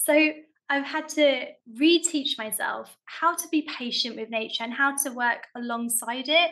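A high-pitched woman's voice with a bright, sharp tone. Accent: South London. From South London, England. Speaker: allotment gardener. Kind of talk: casual chat.

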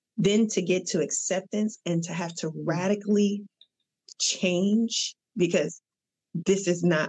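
Somewhat breathy and fairly low-pitched, a woman speaks at a fairly slow pace with ordinary pitch variation. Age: 40s. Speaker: therapist. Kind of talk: casual chat.

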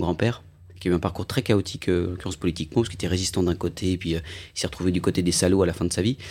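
Very deep and low, a man's voice runs at a very fast pace in a very clean recording with a silent background. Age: 40s. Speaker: actor and writer. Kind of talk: interview.

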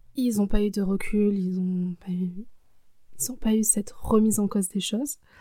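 A woman speaks at a fairly slow pace with fairly even intonation, her medium-pitched voice dark, mellow and somewhat breathy, on a very clean recording with a silent background. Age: 20s. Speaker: personal storytelling podcaster. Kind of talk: personal testimony, casual spoken commentary. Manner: hesitant, with frequent fillers.

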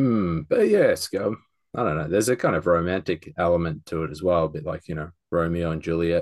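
In an Australian accent, a man with a very deep, low voice speaks at a fairly quick pace with ordinary pitch variation against a quiet background. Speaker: podcast co-host. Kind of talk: casual chat. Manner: halting, with many repeated words and fillers.

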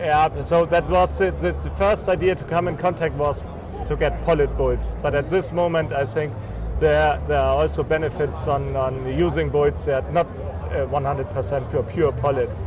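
A man with a German accent at a moderate pace, with noticeable background noise. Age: 40s. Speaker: crossbreeding genetics company owner, former dairy farmer. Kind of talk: interview. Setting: trade fair. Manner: halting.

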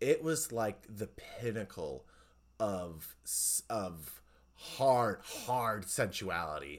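Lively intonation and vocal fry mark this voice, which moves at a very slow pace. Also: man, fairly low pitch for a man. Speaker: podcast host. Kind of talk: casual chat. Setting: recorded podcast conversation.

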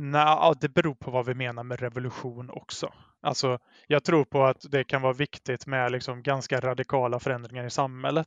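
In a Gothenburg accent, a man at medium pitch speaks fairly quickly in a flat monotone, with a quiet background and a dry, close sound with no echo. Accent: West Swedish, Gothenburg area. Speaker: guest, Facebook group admin. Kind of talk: casual conversation.

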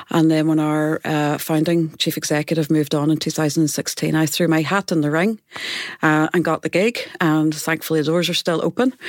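With a very deep, low pitch, a woman speaks at a fairly quick pace, keeping fairly even intonation and very even loudness. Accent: Derry. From Northern Ireland, Derry. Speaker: music centre chief executive. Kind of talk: panel discussion. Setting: studio.

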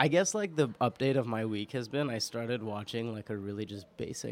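A speaker with a New York accent talks at a moderate pace, with ordinary pitch variation. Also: man. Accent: New York American. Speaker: podcast producer and guest co-host. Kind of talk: casual chat. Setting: studio.

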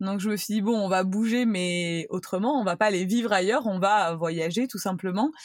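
A woman with a plain, everyday voice talks at a moderate pace and medium pitch, using ordinary pitch variation and hardly any pauses. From France, Cannes (Provence). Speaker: content creator. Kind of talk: casual chat.

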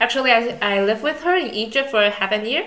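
With a Chinese accent, a woman speaks at a moderate pace against noticeable background noise. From Taiwan. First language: Mandarin Chinese. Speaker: podcast host, master's student. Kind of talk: casual chat.

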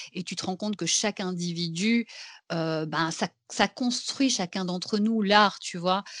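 At a very slow pace, a woman speaks at medium pitch with ordinary pitch variation, in a dry, close sound with no echo and a quiet background. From Belgium. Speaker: actress and singer. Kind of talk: casual chat.

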